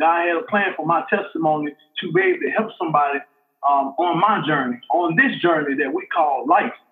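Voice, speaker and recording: A man speaks at a high pitch with an Alabama accent. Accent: Southern US (Alabama). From US South, Montgomery, Alabama. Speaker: football coach. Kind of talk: testimony. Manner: halting, many fillers and repetitions.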